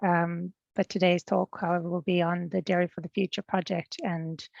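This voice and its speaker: A woman speaks at a moderate pace. She has a slight New Zealand accent. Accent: non-Irish, slight Kiwi. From Fiji, studied in New Zealand. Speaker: agricultural research technician. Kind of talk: presentation.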